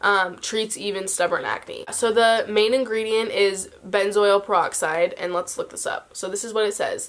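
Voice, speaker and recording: The speech moves at a fairly slow pace. It is a normal speaking voice. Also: woman. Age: young. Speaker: beauty vlogger. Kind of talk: casual talk to camera.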